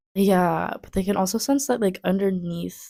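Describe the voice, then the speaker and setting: A soft-spoken woman talks at a fairly slow pace. The recording is very clean, with a silent background. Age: 20s. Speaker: tarot reader. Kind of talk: tarot reading to camera.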